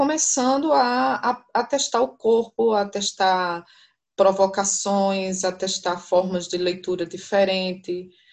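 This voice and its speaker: With ordinary pitch variation, a woman delivers her words very slowly. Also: quiet background. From São Paulo. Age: 40s. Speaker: university professor. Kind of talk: interview.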